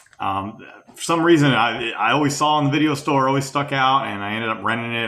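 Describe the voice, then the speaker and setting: At a moderate pace, a man speaks with ordinary pitch variation, and audible room echo surrounds his voice. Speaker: film fan interviewee. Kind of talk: interview testimony. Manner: halting, many fillers.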